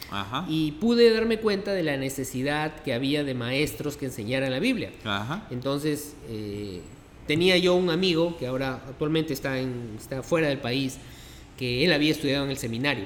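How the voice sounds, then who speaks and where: Amid noticeable background noise and audible room echo, a man with a Peruvian accent speaks with lively intonation. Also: moderate pace. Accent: Peruvian Spanish (Lima). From Peru, Lima. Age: 50s. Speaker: pastor. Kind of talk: interview conversation. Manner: halting, many fillers.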